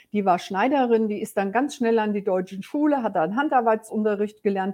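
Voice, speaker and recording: A woman speaks at a fairly quick pace with medium pitch. Her pitch varies in an ordinary way. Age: 60s. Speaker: business coach. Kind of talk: personal storytelling. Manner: hesitant fillers.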